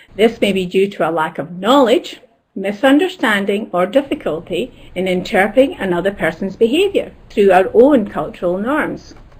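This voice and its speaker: A woman's medium-pitched voice with lively intonation, hardly any pauses, and noticeable background noise. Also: moderate pace. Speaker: academic advisor, webinar panelist. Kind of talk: webinar presentation.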